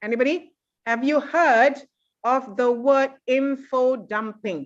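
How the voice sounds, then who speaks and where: Very slowly, a woman talks in a high pitch with ordinary pitch variation. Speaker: university lecturer. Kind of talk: lecture. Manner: serious, stern-sounding.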